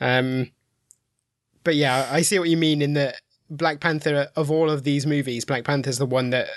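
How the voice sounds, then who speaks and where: Against a quiet background, a man with a fairly high pitch speaks at a moderate pace with fairly even intonation. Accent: English Midlands. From English Midlands. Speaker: film critic. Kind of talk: casual chat.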